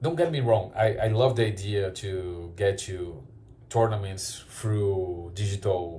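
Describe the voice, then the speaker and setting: A man with a Brazilian Portuguese accent, a fairly low pitch and a fairly slow pace, heard with audible room echo. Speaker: card shop owner and YouTuber. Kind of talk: opinion commentary video. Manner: halting, frequent repetitions.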